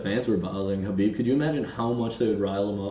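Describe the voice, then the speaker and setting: A man talks in an animated tone that is somewhat breathy. Audible room echo surrounds his voice. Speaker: podcast co-host. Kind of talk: casual chat.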